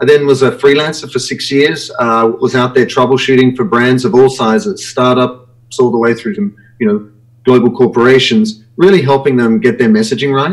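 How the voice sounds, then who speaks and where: Speaking in an Australian accent, a man uses lively intonation at a medium pitch and a moderate pace. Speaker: branding consultant and author. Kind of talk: live web show interview.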